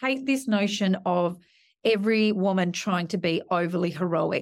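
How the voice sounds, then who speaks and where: A woman with an Australian accent speaks at medium pitch in a very clean recording with a silent background. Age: 40s. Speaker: media executive. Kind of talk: interview.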